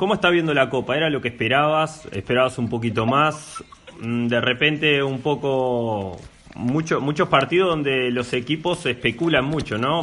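This man has an ordinary speaking voice with a fairly high pitch and ordinary pitch variation. He talks at a moderate pace. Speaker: sports radio host. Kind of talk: casual radio chat.

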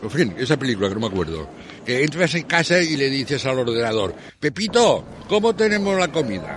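Over noticeable background noise, a man with a fairly high pitch talks at a fairly quick pace, his pitch swinging very widely. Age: 70s. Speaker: elderly man with low vision. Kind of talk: interview testimony. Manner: halting.

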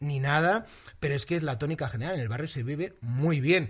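A man with a normal speaking voice and fairly high pitch talks at a moderate pace with ordinary pitch variation. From Valencia, Spain. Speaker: TV presenter and comedian. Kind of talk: casual interview chat.

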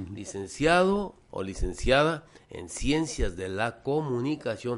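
A man talks with very wide pitch swings. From Mexico, Guadalajara. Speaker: singer-songwriter and cultural promoter. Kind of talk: casual chat. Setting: studio.

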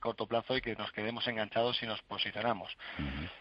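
At a fairly quick pace, a man of medium pitch speaks with fairly even intonation in a plain, everyday voice. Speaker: stock market analyst. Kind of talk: radio phone-in market analysis.

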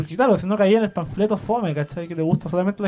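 A man talks with a Chilean accent and ordinary pitch variation. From Chile, Maule region. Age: 20s. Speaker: young writer and sociology student. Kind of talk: casual radio interview. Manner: hesitant, with many fillers and restarts.

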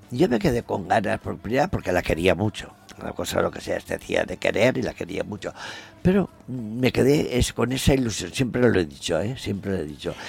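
Swinging very widely in pitch, a man speaks at a moderate pace with a medium pitch. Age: 80s+. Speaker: traditional costume designer. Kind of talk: interview.

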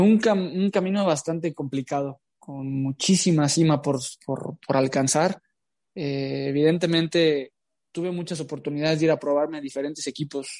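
Here is a man with a normal speaking voice. His fairly high pitch holds a fairly even intonation at a moderate pace. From Mexico, Jalisco. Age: 20s. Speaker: footballer. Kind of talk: interview.

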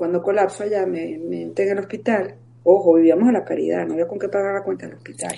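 A woman talks at a very fast pace. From Venezuela. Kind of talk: interview, personal testimony.

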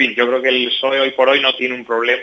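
A man speaks against noticeable background noise. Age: 30s. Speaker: mayor and regional politician. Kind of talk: radio interview.

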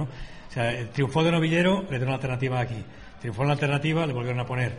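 Words rush out at a very fast pace with ordinary pitch variation and audible room echo. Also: man. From Spain, Valencia. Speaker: bullfighting radio host. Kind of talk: radio talk show. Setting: hotel, live radio broadcast.

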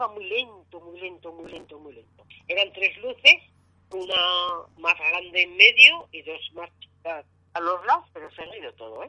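A woman speaks at a moderate pace. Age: 60s. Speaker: UFO sighting witness. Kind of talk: phone interview, testimony.

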